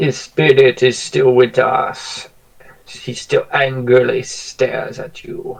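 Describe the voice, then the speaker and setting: A man's put-on character voice at medium pitch. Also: fairly slow pace. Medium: actual play. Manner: slow, solemn.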